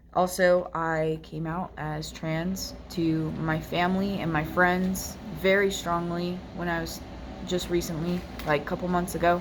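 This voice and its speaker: Over noticeable background noise and audible room echo, a woman with a fairly low pitch talks at a fairly slow pace in a flat monotone. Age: 20s. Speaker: personal vlogger sharing faith story. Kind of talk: testimony. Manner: hesitant, many fillers.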